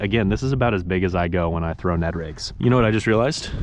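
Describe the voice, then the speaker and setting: A man with an American accent talks at a very fast pace, with ordinary pitch variation. Light background noise is present, and the sound is dry with no echo. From Kansas, US Midwest. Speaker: fishing youtuber. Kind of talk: outdoor fishing tutorial. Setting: outdoors on the water. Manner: animated. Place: waterside. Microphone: phone near.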